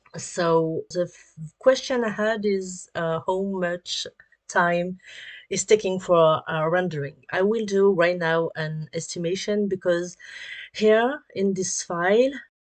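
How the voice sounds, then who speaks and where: Against a quiet background, a speaker with a French accent talks at a very slow pace with ordinary pitch variation. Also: woman, medium pitch for a woman. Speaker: 3D artist and animator. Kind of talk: tutorial. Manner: halting, many fillers.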